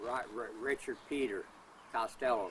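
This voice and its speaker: Fairly slow and fairly even in intonation, a man speaks at medium pitch with a US Midwestern accent. Noticeable background noise runs behind him. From US Midwest, Kansas and Missouri. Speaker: interviewee, father of a whistleblower. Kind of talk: interview. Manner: halting, stammering repetitions.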